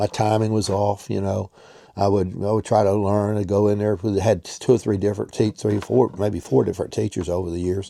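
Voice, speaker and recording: A man's fairly low-pitched, monotone, flat delivery at a fairly quick pace, with noticeable background noise. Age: 70s. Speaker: amateur bowler. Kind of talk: casual talk to camera.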